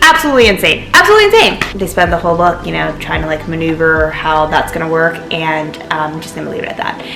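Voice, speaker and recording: Animated speech with noticeable background noise and audible room echo. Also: woman. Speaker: book vlogger. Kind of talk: casual chat. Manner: fast.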